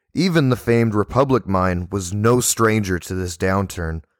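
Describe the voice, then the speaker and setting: This man has a normal speaking voice, fairly low in pitch with ordinary variation, recorded dry and close with no echo. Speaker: podcast host. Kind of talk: history documentary narration. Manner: measured, even-paced and formal, like a teacher reading a well-organized script; clear, steady and informative with little emotional color.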